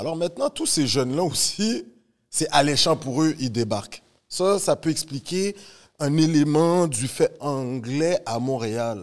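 On a very clean recording with a silent background, a man speaks very slowly at a fairly high pitch with lively intonation. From Montreal, Canada. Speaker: podcast host, teacher. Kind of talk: casual chat, interview.

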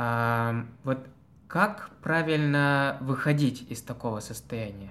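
Here a man speaks at a medium pitch. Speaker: student podcast host. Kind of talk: casual chat.

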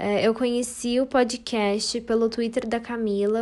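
This woman has a fairly high pitch and a dark, mellow tone. She speaks at a moderate pace with monotone, flat intonation. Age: young. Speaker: podcast listener. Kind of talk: casual chat.

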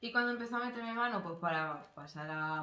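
A woman speaks quietly with audible room echo. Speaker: podcast co-host. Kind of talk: casual chat.

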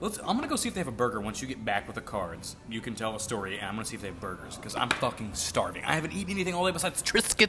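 A man's medium-pitched voice at a very fast pace, with very wide pitch swings, hardly any pauses and music in the background. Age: 20s. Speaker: podcast host. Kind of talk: casual chat. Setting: bar or cafe with live band.

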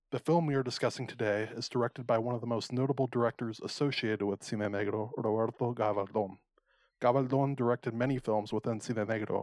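With a normal speaking voice, a man speaks at medium pitch and a fairly quick pace, his intonation fairly even, the sound dry and close with no echo. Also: quiet background. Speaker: podcast host. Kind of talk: casual chat.

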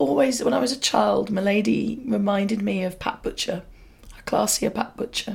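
Reading aloud, plain

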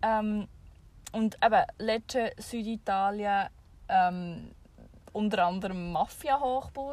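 In a Swiss accent, a woman speaks at a very slow pace with long, frequent pauses. Her voice is fairly high, with ordinary pitch variation. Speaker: podcast co-host. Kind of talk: casual chat. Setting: in a camper van with the rear hatch open.

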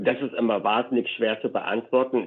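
Here a man speaks at medium pitch. His pace is moderate. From eastern Germany, Leipzig. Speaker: market research company director. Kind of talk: interview conversation.

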